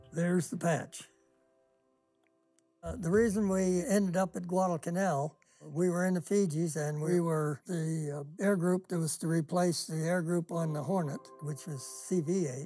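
With faint music in the background, a man speaks at a moderate pace in a high pitch that varies in an ordinary way. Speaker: war veteran. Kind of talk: interview answer. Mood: calm, wry storytelling. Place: garage.

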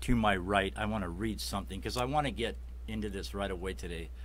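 A man with a Chicago accent talks at a fairly quick pace in a very deep, low voice with vocal fry and very wide pitch swings. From Chicago Heights, Illinois; Illinois. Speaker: web show host. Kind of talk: casual interview show. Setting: studio. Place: studio. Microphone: studio mic.

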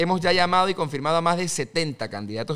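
Using lively intonation, a man talks in a fairly high pitch. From Panama. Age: 20s. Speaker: politician; podcast guest, candidate. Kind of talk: interview. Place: studio. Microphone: studio mic.

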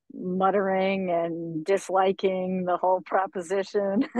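A woman speaks at a medium pitch in an American accent. The sound is dry with no echo, and the background is quiet. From Florida. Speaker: organic farmer; guest. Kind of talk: interview. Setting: outdoors on a farm buggy. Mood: thoughtful, relaxed. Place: car. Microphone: video call.

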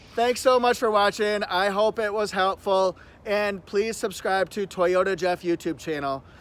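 Using a put-on character voice, a man sounds robotic, pitched high and speaking at a moderate pace. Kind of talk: flat sign-off. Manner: robotic monotone.

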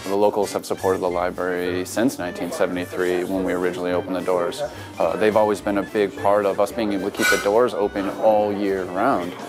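A man talks at a fairly quick pace with hardly any pauses. Clear music plays behind him. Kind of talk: interview answer. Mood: warm, promotional. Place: bar. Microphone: lapel.

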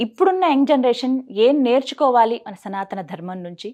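Over a quiet background, a woman's dark, mellow tone carries lively intonation. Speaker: TV interviewer. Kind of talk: interview host introduction.

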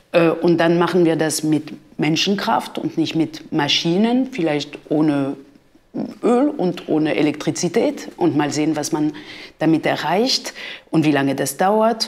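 A woman speaks in a French accent at a fairly low pitch, her intonation lively and her loudness very even. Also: fairly slow pace. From France. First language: French (speaking German). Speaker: art history professor; professor. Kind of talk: interview; interview answer. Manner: hesitant, with fillers. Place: studio.

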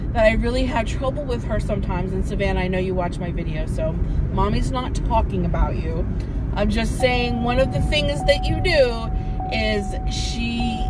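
A woman speaking at a moderate pace, music in the background, the sound dry with no echo. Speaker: hiking vlogger. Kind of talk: casual vlog chat. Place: car. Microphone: phone near.

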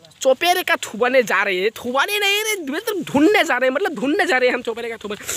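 Speaking at a fast pace, a man uses an extremely high pitch and a bright, sharp tone with big pitch swings.

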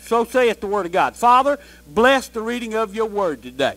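An American-accented man is shouting in an extremely high pitch. His tone is bright, sharp and animated. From US South, Georgia. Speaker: pastor. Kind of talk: sermon. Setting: church with congregation. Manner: animated, call-and-response preaching, urging the congregation to shout amen. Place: church.

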